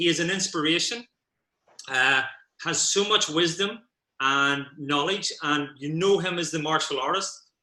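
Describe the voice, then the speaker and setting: A man with a high pitch and a bright, sharp tone speaks at a moderate pace with ordinary pitch variation. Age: 50s. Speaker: martial arts instructor and podcast host. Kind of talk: interview.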